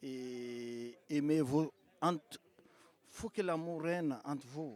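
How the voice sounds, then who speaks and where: The man's intonation is lively. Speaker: event attendee. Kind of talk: short interview.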